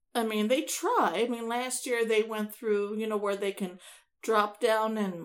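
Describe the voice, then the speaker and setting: A woman's ordinary speaking voice at a moderate pace with fairly even intonation, very clean recording and silent background. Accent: American. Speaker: podcast co-host. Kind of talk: casual chat podcast banter.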